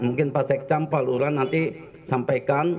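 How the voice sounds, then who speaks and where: Over noticeable background noise, a man speaks fairly slowly with a slight Jakarta accent. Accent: slight Betawi. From Jakarta, Betawi (Cengkareng). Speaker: army officer. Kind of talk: speech at community event. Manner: halting.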